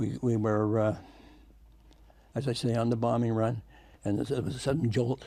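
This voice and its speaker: A man's medium-pitched voice with a dark, mellow tone and vocal fry, at a moderate pace with fairly even intonation. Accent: Canadian. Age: 80s+. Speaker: war veteran. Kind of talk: interview answer.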